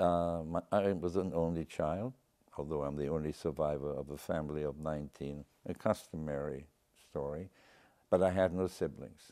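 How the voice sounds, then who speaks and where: With a German accent, a man talks at a moderate pace in a very deep, low pitch and a dark, mellow tone against a quiet background. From Germany, Cologne; Germany. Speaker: Holocaust survivor and author. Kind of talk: interview. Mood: grave, reflective. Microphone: lapel.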